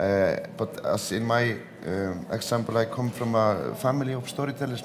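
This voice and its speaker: Background noise is noticeable throughout. Room echo can be heard too. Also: man. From Iceland. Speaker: film director, actor. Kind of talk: interview. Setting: cultural centre at a film festival.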